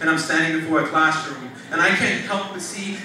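A raised, projected voice at a moderate pace rings with strong room echo over light background noise. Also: man. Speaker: slam poet, teacher. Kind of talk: spoken word poetry performance. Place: stage.

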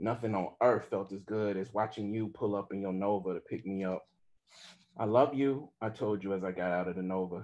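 Over a quiet background, a man talks at a moderate pace. He has an American accent and a fairly low pitch. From Southern US, Mississippi. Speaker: author. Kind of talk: memoir reading at a live event. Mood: somber, intimate. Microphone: video call.

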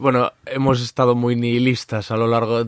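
The sound is dry and close with no echo, over a quiet background. A man rushes through his words at a very fast pace. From Galicia, Spain (Corcubión). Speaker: podcast host. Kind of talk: interview; sales pitch.

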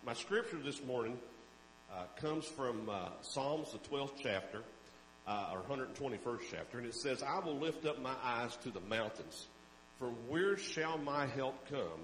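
A man talks at a fairly slow pace, with long, frequent pauses. Audible room echo and light background noise surround him. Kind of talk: welcome and announcements, prayer. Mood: warm, relaxed. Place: church. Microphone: handheld.

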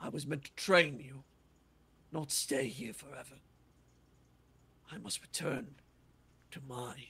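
A man performs a put-on character voice at a fairly high pitch. He leaves long, frequent pauses. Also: fairly slow pace. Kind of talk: fantasy roleplay. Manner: wise, fatherly, solemn.

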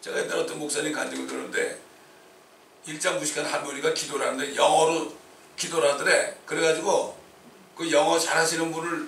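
Audible room echo and noticeable background noise around a man talking at a fairly quick pace. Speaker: pastor. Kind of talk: sermon. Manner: animated.

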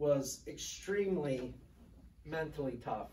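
Audible room echo and light background noise accompany a man speaking with ordinary pitch variation. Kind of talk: eulogy. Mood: emotional, fond storytelling. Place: meeting room. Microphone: camera far.

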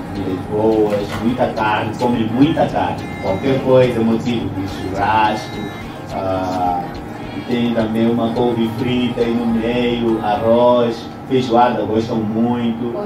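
A man at a very slow pace, with audible room echo and clear music in the background. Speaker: interview guest. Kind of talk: interview answer. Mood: cheerful, smiling, laughs. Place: studio.

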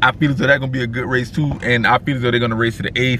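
A man's animated, medium-pitched voice, dry with no echo, over light background noise. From South Carolina. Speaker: car culture vlogger. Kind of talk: casual vlog recap. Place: car. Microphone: phone near.

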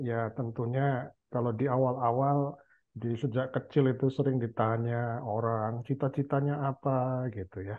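A man's medium-pitched, monotone, flat delivery at a fairly slow pace, with hardly any pauses, against a quiet background. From Indonesia, Central Java. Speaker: university professor; guest, professor. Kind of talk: casual chat. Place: home room. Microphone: headset.

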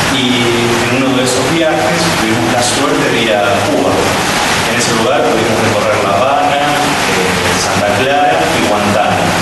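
Over loud background noise and audible room echo, a man speaks with ordinary pitch variation. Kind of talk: public talk to audience. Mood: grateful, calm. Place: stage.

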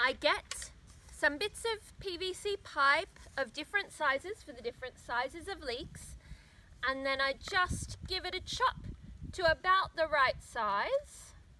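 A woman with an Australian accent talks at a fairly slow pace in a high, raised, projected voice, with very wide pitch swings and big swings in loudness. The sound is dry with no echo, over light background noise. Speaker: gardening vlogger. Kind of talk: tutorial. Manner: casual. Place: garden.

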